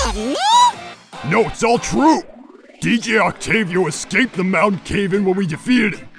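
Over faint music in the background, a cartoonish character voice talks at a fairly high pitch. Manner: earnest, determined.

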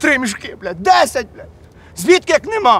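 Light background noise sits under a man's voice, recorded with a dry sound and no echo. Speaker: comic character. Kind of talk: acted comedy dialogue, phone call. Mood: exasperated, swearing, boastful. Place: forest.

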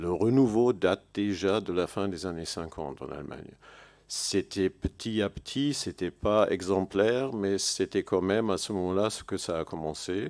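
This man speaks in a German accent at a fairly slow pace. His voice is fairly low, with ordinary pitch variation, and the background is quiet. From Germany. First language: German (speaking French). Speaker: historian; panelist. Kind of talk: panel discussion. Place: hall. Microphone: podium.

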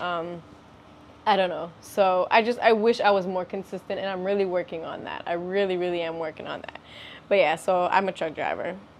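A woman with an American accent speaks at a fairly quick pace in a monotone, flat intonation. There is light background noise. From Florida. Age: 30s. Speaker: vlogger and truck driver. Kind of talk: casual chat. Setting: outdoors. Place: home room. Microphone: lapel.

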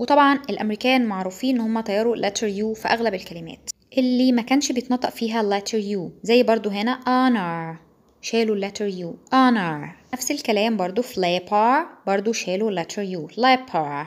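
A woman with a normal speaking voice, fairly high in pitch, with ordinary pitch variation and a moderate pace. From Egypt. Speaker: English teacher. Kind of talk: tutorial.

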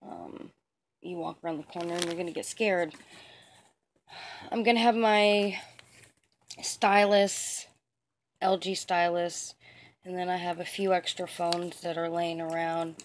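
A woman speaks with a fairly low pitch and fairly even intonation at a fairly slow pace. Long, frequent pauses break her speech, with light background noise behind it. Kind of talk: casual vlog chat. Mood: playful, mischievous. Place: home room. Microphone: phone near.

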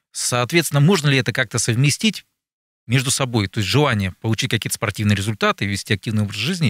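A man with lively intonation, the sound dry and without echo. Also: quiet background. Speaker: radio talk show host. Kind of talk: interview questions. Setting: studio. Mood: calm, polite. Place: studio. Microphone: studio mic.

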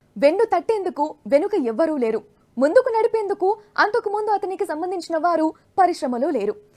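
Fairly quick, dark, mellow speech with big pitch swings and a dry, close sound with no echo. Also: woman, extremely high pitch for a woman.

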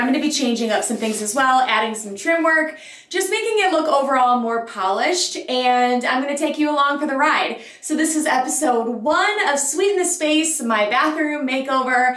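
In a quiet background with audible room echo, a woman speaks at a high pitch with hardly any pauses. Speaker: home decor vlogger. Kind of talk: casual vlog chat.

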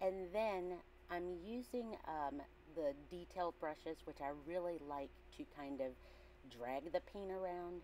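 A woman talks very slowly in a fairly low pitch with a dark, mellow tone and lively intonation. There is light background noise. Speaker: artist and art teacher. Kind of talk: art tutorial voice-over. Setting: large classroom with air-conditioner hum. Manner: casual, hesitant. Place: classroom.

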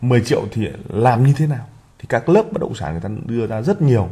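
Somewhat breathy and dark, mellow in tone, a man talks at a fairly quick pace with very wide pitch swings. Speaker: investment channel host. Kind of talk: presentation. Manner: frequent filler pauses.

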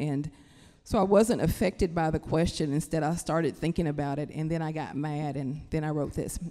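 A woman speaks with an Appalachian accent in a very deep, low pitch and a dark, mellow tone. Her intonation stays fairly even at a fairly quick pace against a quiet background. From Kentucky, Appalachia. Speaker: writer. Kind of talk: panel discussion talk. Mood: earnest, passionate. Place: stage. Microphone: handheld.

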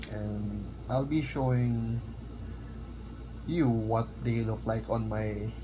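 A man's voice over noticeable background noise. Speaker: sneaker vlogger. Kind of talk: casual unboxing commentary. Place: office. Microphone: phone near.

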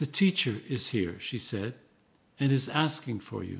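A somewhat breathy male voice at a moderate pace, with very wide pitch swings. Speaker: Anglican priest and canon. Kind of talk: scripture reading. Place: home room. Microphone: phone near.

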